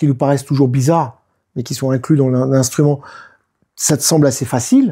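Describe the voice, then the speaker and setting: At a fairly quick pace, a somewhat breathy voice with a dark, mellow tone is heard against a quiet background. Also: man. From France, Nice; France. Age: 50s. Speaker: didgeridoo player and DJ; DJ. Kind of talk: casual interview. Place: home room.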